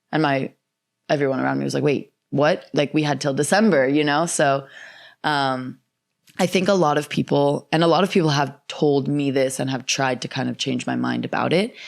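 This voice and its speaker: In a very clean recording with a silent background, a woman speaks at a moderate pace with vocal fry. Her pitch is very deep and low, with ordinary variation. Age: 20s. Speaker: attorney and world traveler. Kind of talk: casual chat. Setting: in-person podcast studio.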